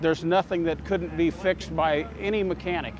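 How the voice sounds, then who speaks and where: The speaker is a man with a high pitch. He talks at a fairly quick pace. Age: 60s. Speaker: car owner at a car show. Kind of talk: interview.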